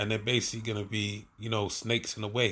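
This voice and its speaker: A man speaks at a fairly low pitch with a slight Cockney accent. The recording is very clean, with a silent background. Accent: slight Cockney twang on certain words. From London. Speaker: bible teacher. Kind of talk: bible study. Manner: casual, repetitive filler.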